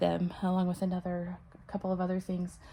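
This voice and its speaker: A soft-spoken woman with an American accent. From Texas, Corsicana. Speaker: channel owner restoring a historic house. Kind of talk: casual vlog. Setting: parents' house, indoors. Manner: hesitant, many fillers.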